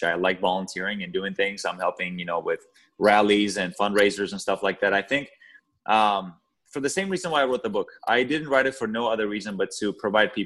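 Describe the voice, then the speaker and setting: A man with a fairly low voice talks at a fairly quick pace with ordinary pitch variation. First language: not English (English is third language). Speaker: author. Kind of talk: podcast interview.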